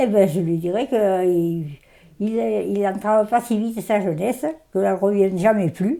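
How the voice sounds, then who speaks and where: With a dark, mellow tone and ordinary pitch variation, a woman is heard in a very clean recording against a silent background. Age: 80s+. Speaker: farmer. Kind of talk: interview answer.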